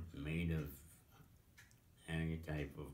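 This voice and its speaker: With an American accent and vocal fry, a man speaks at a very slow pace in a very deep, low pitch. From Pennsylvania. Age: 80s+. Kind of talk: interview answer. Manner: hesitant, slow.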